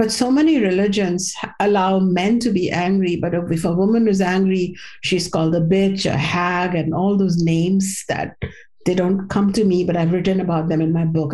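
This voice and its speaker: A somewhat breathy woman with a dark, mellow tone speaks at medium pitch and moderate pace with fairly even intonation, and audible room echo surrounds her voice. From India. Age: 50s. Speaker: spiritual teacher and author. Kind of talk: interview.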